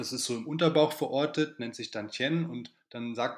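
Ordinary pitch variation with vocal fry, a moderate pace and a quiet background. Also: man. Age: 30s. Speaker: qigong teacher. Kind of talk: casual chat.

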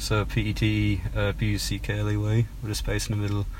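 A man with a Cork accent speaks at a moderate pace. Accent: Irish (Cork). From Ireland (Cork). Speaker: singer-songwriter. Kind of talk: interview. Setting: in a parked car. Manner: hesitant, many fillers.

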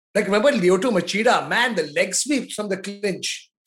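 This man speaks in an Indian accent at a moderate pace. His pitch is high, with ordinary variation. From Mumbai, India. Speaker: podcast co-host. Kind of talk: casual chat.

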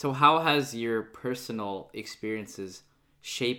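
In a very clean recording with a silent background, a man with an American accent speaks at a fairly slow pace in a bright, sharp tone. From United States, Filipino American. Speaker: podcast host. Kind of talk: casual interview.

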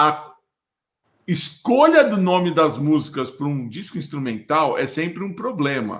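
A man talks in a fairly high voice at a fairly slow pace. His intonation is lively and his tone animated. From Rio de Janeiro state, Brazil (Teresópolis). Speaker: podcast host. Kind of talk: casual chat.

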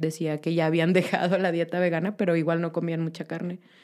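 Dark and mellow in tone, a woman with a Mexican accent speaks at a fairly low pitch. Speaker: vegan guest. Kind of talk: casual chat.

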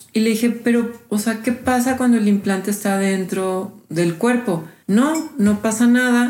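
At a fairly slow pace with hardly any pauses, a woman speaks in a somewhat breathy, fairly high voice with very even loudness and ordinary pitch variation. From Mexico City. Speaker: healer and graphic designer. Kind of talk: interview testimony. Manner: casual, hesitant with fillers.

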